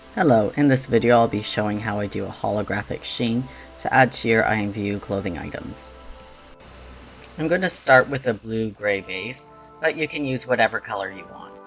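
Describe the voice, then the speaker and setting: With music behind him, a man talks, his pitch varying in an ordinary way. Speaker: digital clothing creator. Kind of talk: tutorial narration.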